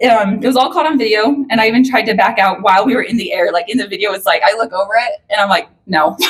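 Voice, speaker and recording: A woman speaks at a very fast pace with a fairly high pitch. Her intonation is lively. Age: 30s. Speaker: daughter of the deceased giving a eulogy. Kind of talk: eulogy speech. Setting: memorial service. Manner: loud.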